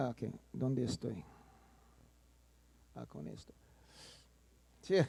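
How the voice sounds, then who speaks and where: At a very slow pace, a man speaks with a non-native accent. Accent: non-native Spanish speaker. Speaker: soil science professor. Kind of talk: conference lecture. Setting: conference hall with audience. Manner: halting, with self-corrections.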